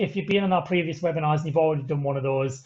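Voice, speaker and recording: Somewhat breathy delivery with fairly even intonation. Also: man. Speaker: webinar presenter for an ambulance service. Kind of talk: webinar closing remarks. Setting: video call. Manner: fast; hesitant, many filler sounds.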